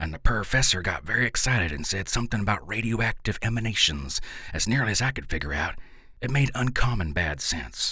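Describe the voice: What's heard here is plain reading aloud.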